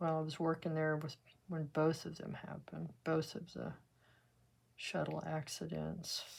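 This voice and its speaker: With a Texan accent, a woman speaks at a fairly slow pace in a relaxed tone. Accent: Texan US Southern. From West Texas. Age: 70s. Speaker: art teacher. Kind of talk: tutorial with casual chat. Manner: relaxed, conversational.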